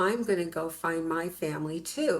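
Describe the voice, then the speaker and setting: A woman speaks at a fairly slow pace with an American accent. Her pitch variation is ordinary. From US West (California desert). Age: 60s. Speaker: interviewee. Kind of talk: interview testimony.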